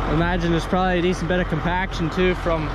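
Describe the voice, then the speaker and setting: Loud background noise behind a male voice that sounds dry, with no echo. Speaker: young farmer vlogger. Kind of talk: casual vlog chat. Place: open country. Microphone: phone near.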